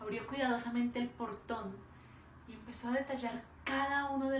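Audible room echo and light background noise surround a woman speaking at a high pitch. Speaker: oral storyteller. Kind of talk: dramatic oral storytelling performance of a parable. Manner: slow, vivid descriptive pacing lingering on imagery; emotive, building to sorrowful intensity. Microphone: phone near.

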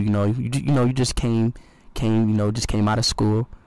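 A man talks at a very fast pace in a monotone, flat intonation. The sound is dry with no echo. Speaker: livestreamer. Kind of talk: casual stream chat, ranting to chat. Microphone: headset.

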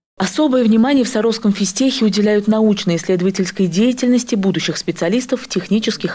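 Fairly fast talking amid noticeable background noise. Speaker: TV news reporter. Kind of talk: news reading.

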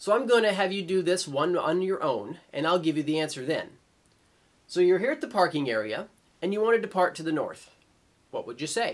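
High-pitched male speech, fairly quick, with lively intonation. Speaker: flight instructor presenter. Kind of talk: tutorial.

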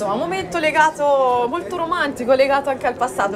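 Over crowd noise in the background, a woman talks at a very fast pace with lively intonation. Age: 20s. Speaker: local TV news presenter; TV news presenter. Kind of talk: TV news magazine interview. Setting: outdoor set in the town square. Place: cafe.

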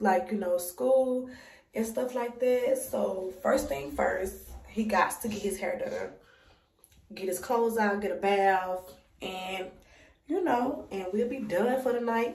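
Amid audible room echo, a woman speaks at a fairly slow pace, somewhat breathy, with ordinary pitch variation. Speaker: mom vlogger. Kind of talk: casual vlog chat. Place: home room. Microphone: phone near.

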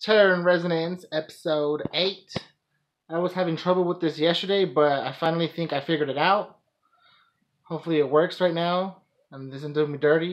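Talking at a fairly quick pace, a man uses a high pitch with fairly even intonation. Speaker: anime reaction vlogger. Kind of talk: casual reaction commentary. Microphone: phone near.

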